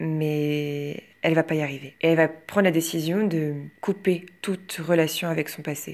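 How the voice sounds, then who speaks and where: A woman's very deep, low voice, monotone and flat, at a fairly slow pace, on a very clean recording with a silent background. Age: 20s. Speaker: drama student. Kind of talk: film review. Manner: hesitant, with fillers and repetitions.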